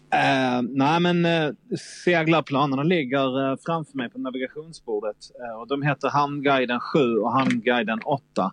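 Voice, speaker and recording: A man's fairly high voice over noticeable background noise. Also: ordinary pitch variation, moderate pace, dry, close sound with no echo. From southern Sweden, Malmö. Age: 40s. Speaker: sailor. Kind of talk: casual chat.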